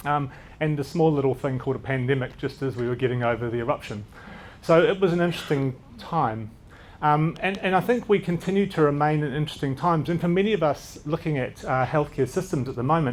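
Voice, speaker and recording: A man mumbles at a very fast pace with a New Zealand accent. His pitch is fairly high. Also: ordinary pitch variation. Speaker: doctor. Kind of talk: conference talk. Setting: stage with audience. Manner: occasionally mumbling.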